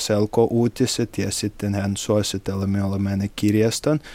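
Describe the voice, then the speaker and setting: Speaking very slowly in a Russian accent, a man has a dark, mellow tone and monotone, flat intonation on a very clean recording with a silent background. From Russia, St Petersburg. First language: Russian (speaking Finnish). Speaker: hotel worker and tourism student. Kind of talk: interview. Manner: halting, with hesitations.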